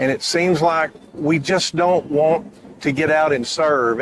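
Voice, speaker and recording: A man with a Texan accent at a fairly high pitch and a moderate pace, ordinary pitch variation, and noticeable background noise. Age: 60s. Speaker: reunion committee member. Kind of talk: interview. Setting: event center pavilion.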